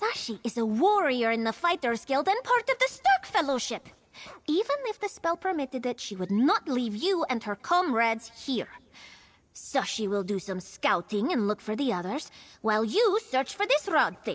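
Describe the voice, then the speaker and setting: A female-sounding put-on character voice, pitched high, swings very widely in pitch at a moderate pace. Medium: video game. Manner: speaks of herself in the third person.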